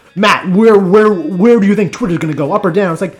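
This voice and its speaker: Putting on a character voice, a man talks fairly quickly in a strained, guttural, high-pitched tone. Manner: menacing, demanding.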